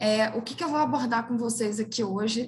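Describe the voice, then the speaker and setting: A woman's fairly high, somewhat breathy voice with fairly even intonation. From Brazil, interior of Minas Gerais. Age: 30s. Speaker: international relations professional, career website co-founder. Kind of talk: webinar career talk.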